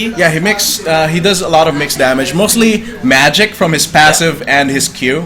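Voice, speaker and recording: Music plays in the background as a man speaks at a moderate pace with hardly any pauses. His pitch is high, with ordinary variation. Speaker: esports shoutcaster in training. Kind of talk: esports game commentary (shoutcasting).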